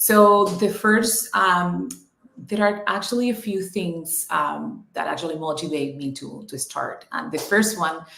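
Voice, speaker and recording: A woman with a Spanish accent talks at a fairly slow pace in a medium pitch, with lively intonation. Her loudness swings widely, and room echo is audible. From Cuba. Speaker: business owner and coach. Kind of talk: interview. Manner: hesitant, many ums.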